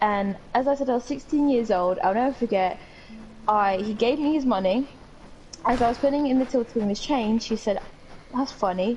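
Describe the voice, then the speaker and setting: At a fairly quick pace, a woman with a fairly high pitch speaks with long, frequent pauses. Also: ordinary pitch variation. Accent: British. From UK. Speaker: podcast co-host. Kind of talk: casual chat.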